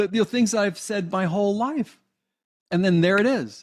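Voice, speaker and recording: Here a man speaks with a high pitch. The recording is very clean, with a silent background. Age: 60s. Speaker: hypnotherapist and life coach. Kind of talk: interview conversation.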